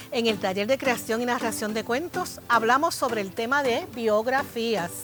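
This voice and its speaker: With music in the background, a woman speaks at a moderate pace in a fairly high pitch with ordinary pitch variation. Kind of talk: program host introduction.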